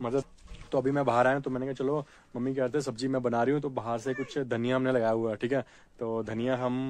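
At a fairly quick pace, a man speaks in flat, monotone intonation with a dry sound and no echo. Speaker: vlogger. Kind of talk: casual vlog chat. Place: open country. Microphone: phone near.

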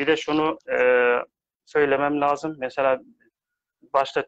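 Against a quiet background, a man speaks at a fairly slow pace, the sound dry with no echo. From Afghanistan. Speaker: aid worker; interview guest. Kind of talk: live online discussion. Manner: halting. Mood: calm, measured. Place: home room. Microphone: video call.

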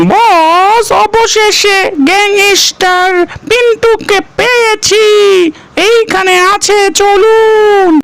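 A cartoonish character voice at an extremely high pitch speaks at a very slow pace over clear background noise. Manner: deferential, addresses boss.

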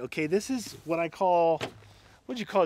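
Lively intonation marks this man's voice, recorded with a dry sound and no echo. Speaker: vlogger. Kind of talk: casual vlog chat. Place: forest. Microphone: phone near.

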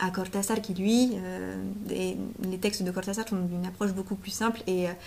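A woman talks at a moderate pace with a medium pitch and fairly even intonation. Her voice carries some vocal fry.

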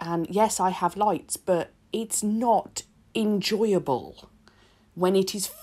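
Very slowly and with lively intonation, a woman with a British accent speaks at a medium pitch against a quiet background. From UK. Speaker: nail art content creator. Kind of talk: tutorial voiceover. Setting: home recording. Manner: chatty. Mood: relaxed and cheerful.

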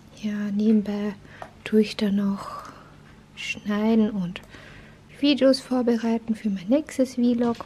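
Light background noise sits under speech delivered at a very slow pace. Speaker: vlogger filming at home. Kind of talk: casual vlog chat. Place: home room. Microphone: phone near.

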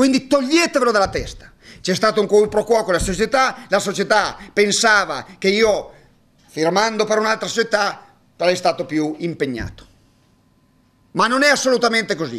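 Pausing often and at length, a man with a high voice speaks at a moderate pace with lively intonation. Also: quiet background. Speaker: basketball coach. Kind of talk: press conference monologue. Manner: hesitant, halting. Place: hall. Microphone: podium.

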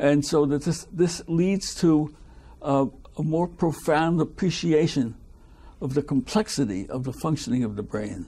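Fairly slow delivery from a man with a dark, mellow tone. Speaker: retired biochemist. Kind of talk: oral history interview. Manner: halting. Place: home room.

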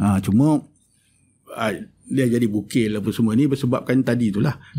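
A man's medium-pitched voice with a dark, mellow tone, ordinary pitch variation and a fairly quick pace. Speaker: mathematics and philosophy of science academic. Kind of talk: educational interview.

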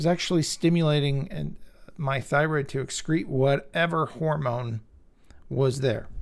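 This man's somewhat breathy voice, fairly high in pitch with an American accent, carries ordinary pitch variation. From US West Coast, Bay Area California. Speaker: health video creator. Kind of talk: personal testimony monologue.

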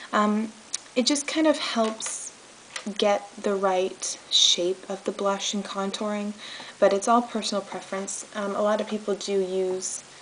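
Light background noise sits behind a woman who speaks at a fairly slow pace. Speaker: makeup tutorial host. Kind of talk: tutorial. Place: home room. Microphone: phone near.

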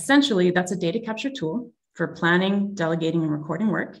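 In a Canadian accent, a woman talks at a moderate pace with lively intonation and a fairly low pitch. The background is quiet. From Canada. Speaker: tech company executive. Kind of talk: webinar presentation. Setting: video call. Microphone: video call.

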